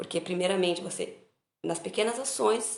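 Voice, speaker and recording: Audible room echo surrounds a woman speaking at a medium pitch with ordinary pitch variation. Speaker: spiritist study group leader. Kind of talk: online study talk.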